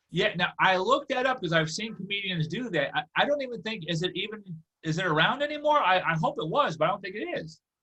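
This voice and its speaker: A man speaks very fast in a high pitch with a bright, sharp tone. His voice is raised and projected. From USA. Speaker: comedy podcast host. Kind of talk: interview. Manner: halting.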